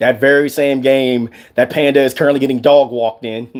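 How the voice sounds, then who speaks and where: A man talks in an animated tone. His pitch is medium. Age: 30s. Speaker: gaming streamer. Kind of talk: casual vlog monologue. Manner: halting.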